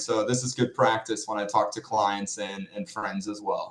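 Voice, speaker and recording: A man with a Norwegian accent talks at a moderate pace. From Norway. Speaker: financial planner. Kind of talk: podcast interview.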